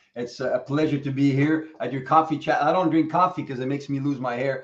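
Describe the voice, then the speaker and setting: A man talks at a very fast pace. His fairly high voice stays monotone and flat. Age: 60s. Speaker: coach. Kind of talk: casual chat.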